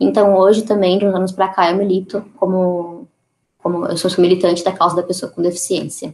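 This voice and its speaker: This woman's voice sits at a medium pitch. Her delivery is monotone and flat. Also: moderate pace. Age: 20s. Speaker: activist and photographer. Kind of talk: interview.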